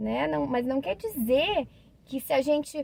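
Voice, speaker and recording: A woman speaks in a high pitch at a fairly slow pace, with a calm tone and a dry, close sound that has no echo. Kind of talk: religious reflection monologue. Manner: calm, hesitant fillers.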